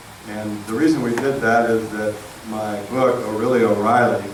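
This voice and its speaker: A man with an American accent talks at a medium pitch and a moderate pace, his intonation fairly even. Audible room echo and noticeable background noise surround him. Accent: Texas accent, fading. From Texas, Houston. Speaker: author. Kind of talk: speech to audience. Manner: hesitant, many fillers.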